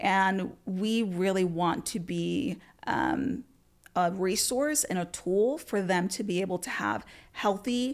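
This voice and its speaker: A woman with a Spanish accent, medium pitch and lively intonation, at a fairly slow pace, in a very clean recording with a silent background. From Puerto Rico, then Florida from age twelve. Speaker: tech executive. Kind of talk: interview.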